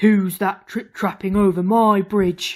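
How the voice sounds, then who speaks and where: A put-on character voice, female-sounding and medium in pitch, fairly slow and monotone, on a very clean recording with a silent background. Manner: bellowing.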